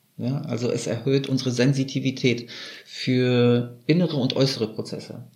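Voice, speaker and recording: A man's somewhat breathy, dark, mellow voice at a medium pitch, in monotone, flat intonation and at a fairly slow pace. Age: 30s. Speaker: kambo ceremony practitioner. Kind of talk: interview.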